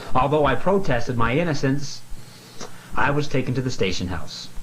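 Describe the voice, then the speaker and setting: A man talks at a fairly quick pace and medium pitch. His intonation is lively, with noticeable background noise behind him. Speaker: aspiring actor. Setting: bedroom.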